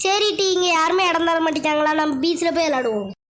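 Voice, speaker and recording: An extremely high-pitched, cartoonish character voice runs at a moderate pace. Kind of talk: animated comedy cartoon. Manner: brisk, informal.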